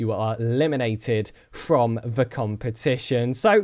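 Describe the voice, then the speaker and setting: The speaker has a British accent and an animated tone at a fairly slow pace. The recording is very clean, with a silent background. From Britain. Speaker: esports caster. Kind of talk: live commentary. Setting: live stream.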